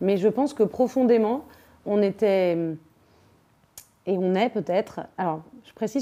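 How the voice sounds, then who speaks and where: Here a woman speaks at a medium pitch. Her pitch variation is ordinary. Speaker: actress and theatre director. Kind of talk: interview. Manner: fast.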